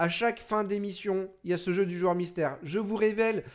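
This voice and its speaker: In a very clean recording with a silent background, a man talks at a high pitch with fairly even intonation. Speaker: NBA show host, streamer. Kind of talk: live stream sports talk show. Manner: fast.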